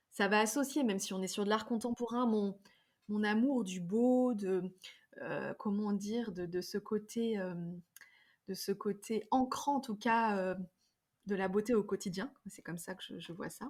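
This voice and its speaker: A woman speaks at a fairly slow pace with long, frequent pauses and big swings in loudness. Her pitch is fairly high, with ordinary pitch variation. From France, Drôme and Ardèche. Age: 40s. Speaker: yoga teacher and wellness practitioner. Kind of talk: podcast interview. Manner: hesitant, many fillers and repetitions.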